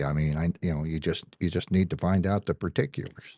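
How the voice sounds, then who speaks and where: Recorded dry and close with no echo against a quiet background, the voice has a dark, mellow tone, ordinary pitch variation and a fairly quick pace. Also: man. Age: 60s. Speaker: firearms dealer. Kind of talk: casual chat.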